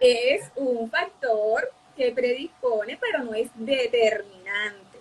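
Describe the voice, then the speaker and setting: Speaking at a very slow pace, a woman with a high pitch shows ordinary pitch variation and big swings in loudness against noticeable background noise. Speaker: psychologist. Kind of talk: interview. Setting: live stream.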